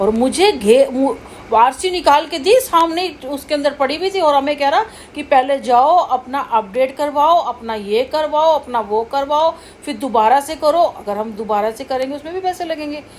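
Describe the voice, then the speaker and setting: Noticeable background noise surrounds a woman's high-pitched, animated voice with lively intonation. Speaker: vlogger. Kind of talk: casual storytelling.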